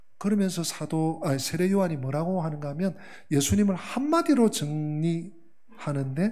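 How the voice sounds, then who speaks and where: In a room with audible echo, a man talks at a fairly slow pace with a fairly high pitch and lively intonation. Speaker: pastor. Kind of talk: sermon. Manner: self-described poor pronunciation.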